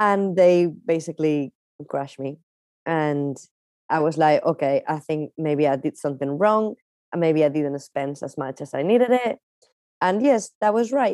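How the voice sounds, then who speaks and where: A woman speaks with a Spanish accent in a very deep, low voice with a dark, mellow tone. The sound is dry and close with no echo. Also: lively intonation, moderate pace. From Spain, Palencia. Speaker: magician and dancer. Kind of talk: interview.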